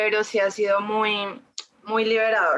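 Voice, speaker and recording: Fairly slow, medium-pitched speech from a woman. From Colombia, Ibagué. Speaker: feminist theology content creator. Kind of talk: casual interview chat.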